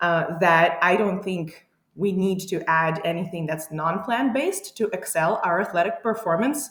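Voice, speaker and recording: Speaking at a moderate pace, a woman has an unremarkable speaking voice at medium pitch with ordinary pitch variation. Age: 30s. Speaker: powerlifting coach. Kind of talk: interview.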